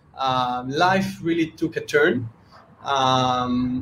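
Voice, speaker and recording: A man's ordinary pitch variation is heard through noticeable background noise. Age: 30s. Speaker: entrepreneur, NFT project co-founder. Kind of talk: casual interview. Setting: video call.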